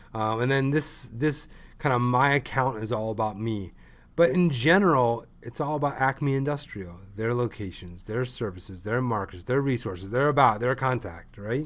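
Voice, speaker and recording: With an animated tone, a man talks at a moderate pace and medium pitch, with ordinary pitch variation and audible room echo. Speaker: ecommerce consultant. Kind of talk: lecture. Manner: loud.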